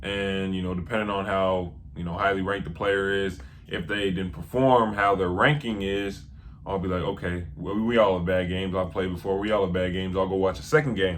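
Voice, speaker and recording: A man's very deep, low voice at a fairly quick pace, with ordinary pitch variation and audible room echo. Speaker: basketball film analyst. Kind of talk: casual vlog talk.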